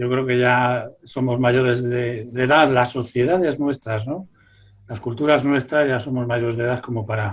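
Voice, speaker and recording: This man has a plain, everyday voice pitched in the medium range. He talks fairly slowly, with fairly even intonation. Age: 60s. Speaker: folklorist. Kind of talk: interview.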